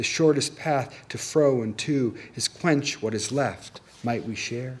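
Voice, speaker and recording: A man with an American accent, an ordinary speaking voice, fairly even intonation and a fairly slow pace. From California. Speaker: poet. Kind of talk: poetry reading. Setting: reading series with live audience.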